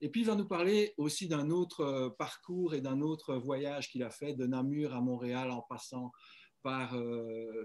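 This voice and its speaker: Very slow speech from a man with a fairly high pitch. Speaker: webinar host. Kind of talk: webinar introduction.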